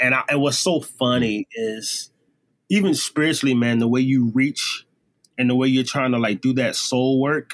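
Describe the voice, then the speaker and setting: A man at a medium pitch with ordinary pitch variation, a normal speaking voice. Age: 30s. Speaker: singer and drummer. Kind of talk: casual chat.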